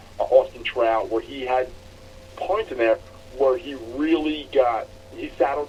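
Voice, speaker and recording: A man speaks at a fairly slow pace, with big swings in loudness. Long, frequent pauses break up his speech over noticeable background noise. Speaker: combat sports podcast co-host. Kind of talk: casual podcast talk.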